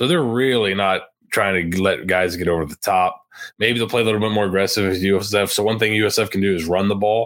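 In a normal speaking voice, a man talks at a fairly quick pace with fairly low pitch and fairly even intonation. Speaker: podcast co-host and analyst. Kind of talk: casual sports podcast chat.

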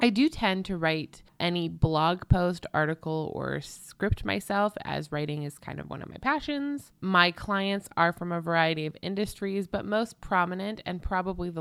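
A woman talks with hardly any pauses in an unremarkable speaking voice, fairly low in pitch. Her pitch varies in an ordinary way, while her loudness swings widely. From Canada. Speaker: podcast host, legal marketing consultant. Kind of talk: solo podcast monologue.

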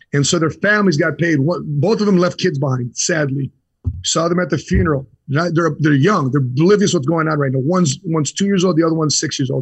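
A man talks very fast with a Chicago accent and a fairly high pitch. His loudness stays very even, and his pitch varies in an ordinary way. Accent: Chicago American. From US Midwest, Chicago. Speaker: insurance entrepreneur, Marine veteran. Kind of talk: interview.

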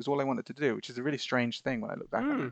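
At a very fast pace, a man with vocal fry and a medium pitch talks against a quiet background in a dry, close sound with no echo. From Bahrain. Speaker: podcast guest. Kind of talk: casual chat.

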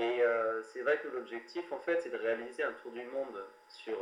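Background noise is noticeable here. Through it comes a man's voice. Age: 20s. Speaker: sailor planning round-the-world voyage. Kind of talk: interview. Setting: remote interview. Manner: hesitant, many fillers.

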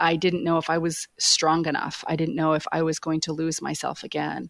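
A woman's fairly low-pitched, normal speaking voice with an American accent, moderate pace, and a very clean recording over a silent background. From Maine, US. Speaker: business executive and career coach. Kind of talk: interview.

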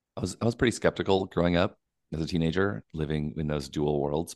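Very deep and low, a man's voice shows vocal fry and ordinary pitch variation at a fairly quick pace. The sound is dry and close, with no echo. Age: 40s. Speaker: documentary filmmaker. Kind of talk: interview.

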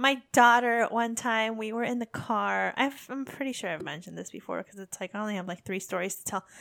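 A woman with an American accent speaks fairly quickly with hardly any pauses, in a normal speaking voice. Her pitch is fairly high with ordinary pitch variation. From United States. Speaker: podcast host, military spouse. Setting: living abroad in Japan. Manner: chatty, laughs often, playful.

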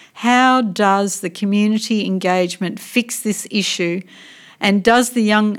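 A woman with an Australian accent speaks at medium pitch and a fairly slow pace. Her intonation is fairly even, and the recording is very clean with a silent background. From Western Australia (Port Hedland, Pilbara). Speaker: political party interviewer. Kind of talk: interview.

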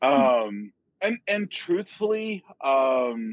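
With an American accent, a man of fairly high pitch talks very slowly in very wide pitch swings, the sound dry and close with no echo. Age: 50s. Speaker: software developer and author. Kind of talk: casual chat.

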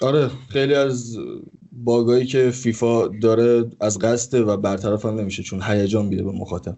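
A man with an unremarkable speaking voice talks at a medium pitch. His pace is moderate and his intonation fairly even. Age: 20s. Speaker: gaming streamer. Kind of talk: casual chat.

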